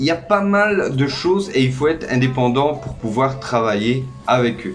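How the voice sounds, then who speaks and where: A man with a Belgian accent talks at a fairly slow pace and a fairly high pitch, with lively intonation. Music plays in the background, and the room has audible echo. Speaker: YouTuber giving expat advice. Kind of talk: casual informational vlog. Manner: hesitant, many fillers.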